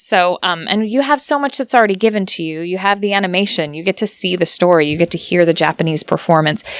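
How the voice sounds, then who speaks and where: At a very fast pace with hardly any pauses, a woman speaks at medium pitch with lively intonation. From United States. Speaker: voice actor. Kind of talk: interview answer.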